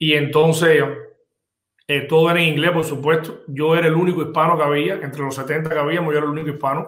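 Audible room echo surrounds a man speaking at a very fast pace with monotone, flat intonation. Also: fairly high pitch for a man. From Cuba. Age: 40s. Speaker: insurance business owner. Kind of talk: interview. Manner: halting, many repetitions.

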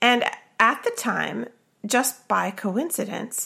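A woman speaks at a fairly slow pace with vocal fry. Her tone is bright and sharp, and also warm and animated. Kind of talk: casual chat, podcast discussion. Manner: warm, animated, chatty.

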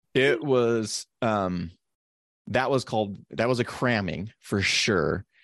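Very slow speech from a man, fairly low in pitch, with ordinary pitch variation and very even loudness. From Nevada, US. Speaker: physician podcast co-host. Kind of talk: casual chat. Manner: halting, many restarts.

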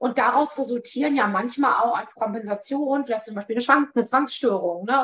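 Amid noticeable background noise, a woman speaks at a fairly quick pace with a high pitch. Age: 40s. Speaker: psychotherapy practitioner. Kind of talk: interview.

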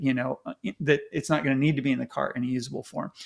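A man speaks at a very fast pace with vocal fry. His pitch sits fairly high. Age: 50s. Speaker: tech commentator. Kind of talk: casual chat.

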